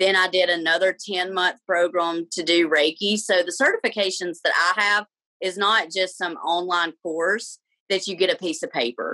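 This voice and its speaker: A woman speaks in a medium pitch with a bright, sharp tone and ordinary pitch variation. The sound is dry and close, with no echo. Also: moderate pace. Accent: Alabama. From Alabama, US South. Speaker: reiki practitioner and life coach. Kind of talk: podcast interview.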